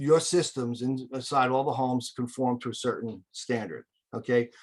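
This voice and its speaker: A man's medium-pitched voice at a fairly slow pace. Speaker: air duct cleaning business owner. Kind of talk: webinar presentation.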